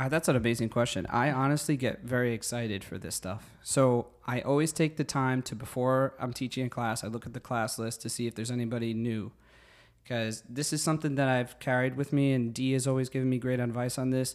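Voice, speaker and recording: Over a silent background in a very clean recording, a man with a New Jersey accent talks at a medium pitch and a fairly quick pace. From New Jersey (Secaucus). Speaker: fitness instructor and teacher. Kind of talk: casual interview. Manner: animated.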